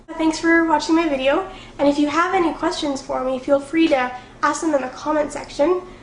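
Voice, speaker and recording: Talking at a fairly quick pace and a high pitch, a woman keeps a fairly even intonation, with audible room echo and noticeable background noise. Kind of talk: vlog to camera. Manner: fast; casual, filler words.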